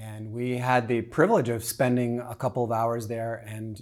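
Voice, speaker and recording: Here a man talks in a plain, everyday voice. His pitch is medium. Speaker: travel podcast host. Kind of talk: casual chat.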